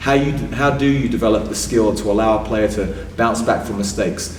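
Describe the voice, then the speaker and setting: A man with an English accent, ordinary pitch variation, audible room echo and noticeable background noise. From England. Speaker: sports psychologist. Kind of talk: interview.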